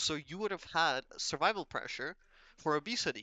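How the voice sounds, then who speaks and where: Over music in the background, a man with a non-native accent speaks at a moderate pace in a fairly high voice with ordinary pitch variation. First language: not English. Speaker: self-improvement vlogger. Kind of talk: casual monologue. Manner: hesitant, many fillers.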